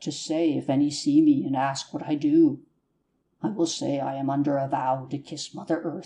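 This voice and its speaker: Putting on a character voice, a man speaks at a fairly high pitch with fairly even intonation and a moderate pace. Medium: audio drama. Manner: nervous, chattering.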